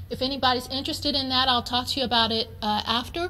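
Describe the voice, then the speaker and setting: There is audible room echo around a woman's high-pitched voice, which has a bright, sharp tone and fairly even intonation. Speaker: chemistry professor. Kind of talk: conference lecture. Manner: fast.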